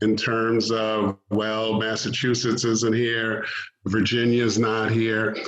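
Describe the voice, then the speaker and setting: Against audible room echo, a man speaks very slowly at a medium pitch. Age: 60s. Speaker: track meet director and coach. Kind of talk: radio interview.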